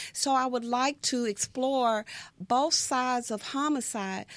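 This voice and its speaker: Speaking with an American accent, a woman uses a high pitch with ordinary pitch variation. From Texas, Brownwood. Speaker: retired police officer. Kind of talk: interview testimony.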